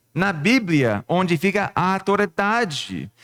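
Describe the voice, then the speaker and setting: A speaker with a non-native accent talks at a very slow pace. The recording is very clean, with a silent background. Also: man. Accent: foreign accent in Portuguese. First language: not Portuguese (speaking Portuguese). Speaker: pastor. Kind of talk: sermon. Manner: halting, with false starts.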